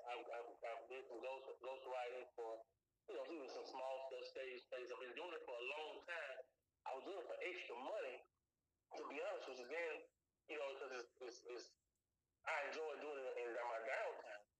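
Pausing long and often, a man with a Louisiana accent talks at a moderate pace. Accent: Louisiana Southern American. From US South, Baton Rouge, Louisiana. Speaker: film director and writer. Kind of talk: interview. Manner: halting, repeats words.

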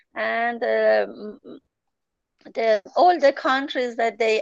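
A woman with a Persian accent speaks in a fairly high pitch, the sound dry and close with no echo. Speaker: journalist and travel agent. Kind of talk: interview. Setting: remote call. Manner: halting.

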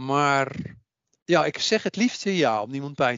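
A man with a plain, everyday voice speaks at a moderate pace, his fairly high pitch carrying lively intonation. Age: 60s. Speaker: psychic medium and author. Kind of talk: interview.

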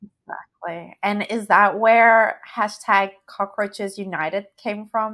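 The tone is bright and sharp. Delivery comes at a very slow pace. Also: woman, medium pitch for a woman, hardly any pauses. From Australia. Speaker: podcast host. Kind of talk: scripted intro; interview. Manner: animated.

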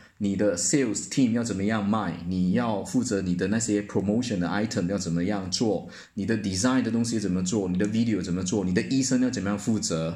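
Speaking at a fairly quick pace with hardly any pauses, a man with a dark, mellow tone and a fairly low pitch uses ordinary pitch variation in a room with audible echo. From Malaysia. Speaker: sales manager. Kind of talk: casual interview chat.

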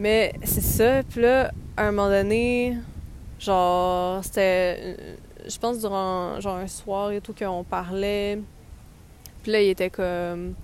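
A woman with a Quebec accent at a very slow pace, with long, frequent pauses. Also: medium pitch for a woman. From Quebec, Montreal. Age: 20s. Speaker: podcast host. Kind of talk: casual travel storytelling. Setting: outdoors in a park.

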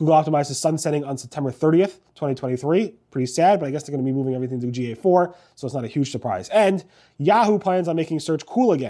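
With hardly any pauses, a man of fairly high pitch speaks very fast in a dark, mellow tone with lively intonation, on a very clean recording with a silent background. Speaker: search news blogger and video host. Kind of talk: news recap monologue. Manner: fast talker.

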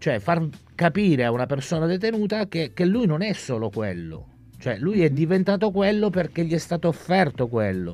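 The speech runs at a fairly quick pace, its pitch swinging very widely. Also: man. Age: 50s. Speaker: incarcerated university student. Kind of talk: reading aloud own story; radio interview. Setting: radio studio.

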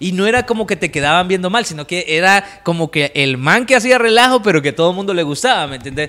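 A man talks at a very fast pace with hardly any pauses and lively intonation. Noticeable background noise runs underneath. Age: 30s. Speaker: radio presenter. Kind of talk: casual chat.

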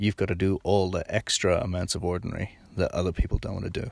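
Speaking with an Irish accent, a man moves along at a moderate pace. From Ireland. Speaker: podcast host, sports nutrition. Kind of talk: casual monologue. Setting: in a car. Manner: conversational, unscripted.

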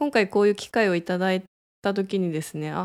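A woman speaks with medium pitch in a very clean recording, silent background. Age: 30s. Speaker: clinic director and radio host. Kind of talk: casual solo radio talk. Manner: hesitant with fillers.

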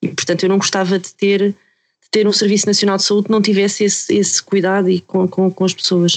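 A woman's medium-pitched, monotone, flat delivery at a fairly quick pace with hardly any pauses, in a dry, close sound with no echo. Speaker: podcast co-host, health professional. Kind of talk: podcast discussion. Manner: halting, many repetitions.

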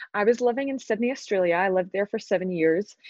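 With a Scottish accent, a woman speaks in a fairly high pitch with ordinary pitch variation. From Glasgow, Scotland. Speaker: entrepreneur and business advisor. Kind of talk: interview.

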